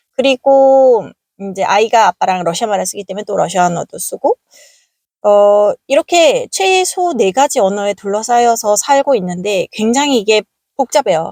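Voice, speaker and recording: A woman speaks at a fairly high pitch with very wide pitch swings and a dark, mellow tone. Her pace is moderate, and the sound is dry and close with no echo. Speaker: vlogger. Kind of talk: casual vlog talk. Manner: hesitant, many fillers.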